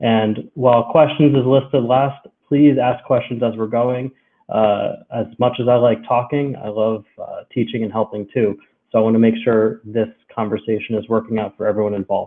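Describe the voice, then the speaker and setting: In an American accent, a man with an ordinary speaking voice talks at a moderate pace and a medium pitch with fairly even intonation. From United States. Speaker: cloud solutions architect. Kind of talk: technical webinar presentation. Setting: live-streamed webinar from home. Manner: many filler words (um, uh).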